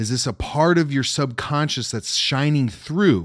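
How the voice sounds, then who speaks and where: An animated, lively intonation comes through on a very clean recording with a silent background. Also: man. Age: 30s. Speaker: self-development podcast host. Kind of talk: motivational monologue.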